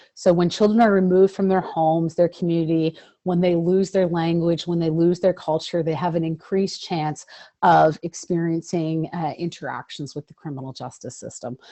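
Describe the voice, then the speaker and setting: Speaking in a normal speaking voice with a Canadian accent, a woman keeps a fairly low pitch, fairly even intonation and a moderate pace. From Ontario, Canada. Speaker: lawyer and advocate. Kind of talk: webinar presentation.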